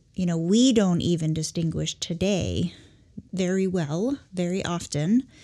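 Fairly slow and fairly low in pitch, a woman speaks with a dark, mellow tone and ordinary pitch variation. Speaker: podcast host. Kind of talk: casual chat. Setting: studio.

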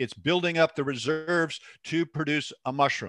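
In a dry, close sound with no echo and a silent background, a man with an American accent speaks at a moderate pace in a fairly high pitch on a very clean recording. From US Pacific Northwest, Seattle. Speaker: mycologist and mushroom supplier. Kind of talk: interview.

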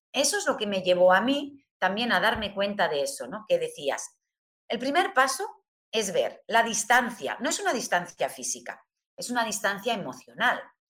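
A woman's fairly high voice with vocal fry and very wide pitch swings. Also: moderate pace. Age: 50s. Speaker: humanistic therapist. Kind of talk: interview.

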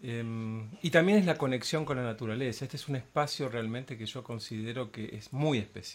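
A man talks with ordinary pitch variation. His voice is somewhat breathy and his loudness swings widely. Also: medium pitch for a man, fairly quick pace. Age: 50s. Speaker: patient giving testimony. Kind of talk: testimony. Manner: hesitant with fillers.

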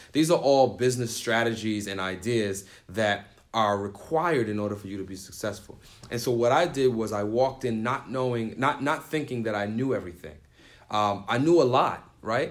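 An unremarkable speaking voice: a man with an American accent at a moderate pace and medium pitch, with ordinary pitch variation. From New York City (the Bronx). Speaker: youth nonprofit founder and DJ. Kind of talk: interview.

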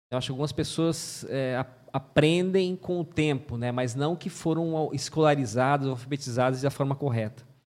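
A man with an unremarkable speaking voice talks at a moderate pace with fairly high pitch and ordinary pitch variation. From Mato Grosso do Sul, Brazil (Paraguay border). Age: 40s. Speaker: pastor. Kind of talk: testimony.

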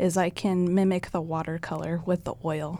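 On a very clean recording with a silent background, a woman with a Midwestern US accent speaks at a fairly slow pace and medium pitch. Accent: US Midwest. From Nebraska, US Midwest. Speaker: painter. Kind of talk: casual interview.

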